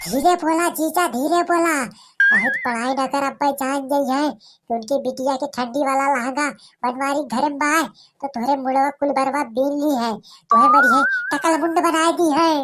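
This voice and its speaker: A woman speaks in a cartoonish character voice. Her pitch is high. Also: moderate pace. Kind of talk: rustic cartoon comedy. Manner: whiny, petulant.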